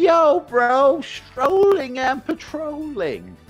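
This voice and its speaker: A put-on character voice at a very slow pace over faint music in the background. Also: man. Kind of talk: casual street slang. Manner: hyped and energetic, in contrast to the other's monotone.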